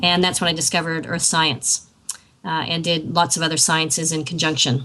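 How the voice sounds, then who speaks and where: Noticeable background noise sits behind this recording. A woman with an American accent talks at a fairly quick pace. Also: fairly low pitch for a woman. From US. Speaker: professor. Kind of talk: live talk. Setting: video call. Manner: halting.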